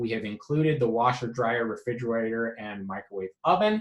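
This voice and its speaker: An unremarkable speaking voice at a fairly quick pace, with lively intonation. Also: man. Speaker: real estate agent. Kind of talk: explanatory video message to clients. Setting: office. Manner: many fillers (um, uh).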